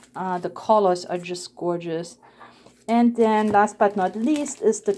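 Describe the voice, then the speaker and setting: In a very clean recording with a silent background, a woman speaks at a fairly slow pace with a non-native accent. Her fairly high pitch shows ordinary variation and a dark, mellow tone. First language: not English. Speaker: papercraft video creator. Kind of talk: crafting tutorial and product showcase. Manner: casual, with hesitations.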